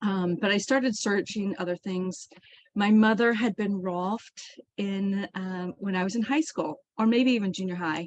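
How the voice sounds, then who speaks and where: In an American accent, a woman talks at a moderate pace and medium pitch with ordinary pitch variation, the sound dry and close with no echo. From Kansas, US Midwest. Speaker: author and healing practitioner, army veteran. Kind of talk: interview. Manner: hesitant, many fillers.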